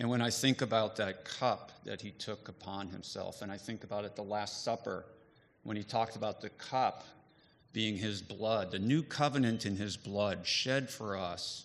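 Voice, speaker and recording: An ordinary speaking voice at a moderate pace. The intonation stays fairly even. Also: man, fairly low pitch for a man. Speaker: divinity faculty member. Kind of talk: testimony. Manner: casual, joking.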